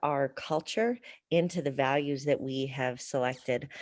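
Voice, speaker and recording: Over a quiet background, a woman with a very deep, low voice speaks at a moderate pace. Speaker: college administrator. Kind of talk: presentation at board meeting. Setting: video call. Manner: animated.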